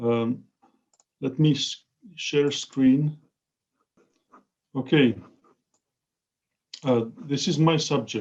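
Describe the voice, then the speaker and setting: A man's fairly high voice at a very slow pace, with fairly even intonation and long, frequent pauses. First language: Czech. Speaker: professor. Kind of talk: lecture. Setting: video call. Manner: halting.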